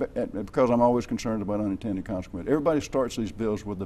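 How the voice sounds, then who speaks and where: The speaker is a man with an Alabama accent. His pitch sits in the medium range. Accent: Southern US (Alabama). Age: 70s. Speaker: state legislator. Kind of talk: TV interview. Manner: halting.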